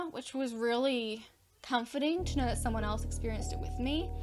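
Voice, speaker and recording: Her voice, a woman's, shows ordinary pitch variation. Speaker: horror storytime YouTuber. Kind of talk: casual personal storytime to camera. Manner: breathless, many pauses.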